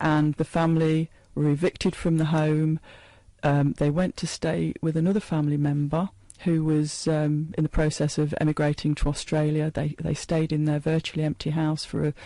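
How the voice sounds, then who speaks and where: The voice has a dark, mellow tone and monotone, flat intonation at very even loudness. The background is quiet, and the sound is dry and close with no echo. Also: woman, very deep, low pitch for a woman, moderate pace. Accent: East Midlands. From England, Leicester. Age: 60s. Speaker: author talking about her late father's memoir. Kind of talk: radio interview.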